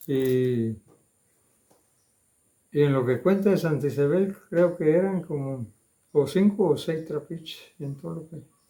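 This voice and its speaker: A man with a dark, mellow, somewhat breathy tone, fairly slow pace, long and frequent pauses, ordinary pitch variation and big swings in loudness. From Ribera de San Juan, Campeche, Mexico. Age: 80s+. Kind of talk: interview answer, oral history recollection.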